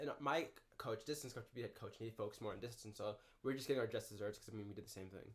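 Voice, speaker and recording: A somewhat breathy man at medium pitch, fairly even in intonation, at a very fast pace. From Minneapolis, Minnesota. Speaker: university student and runner. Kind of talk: casual chat. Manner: slurred speech.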